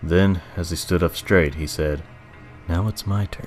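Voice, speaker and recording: Music plays in the background as a man talks at a moderate pace, his pitch very deep and low and his intonation fairly even. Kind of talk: horror story narration.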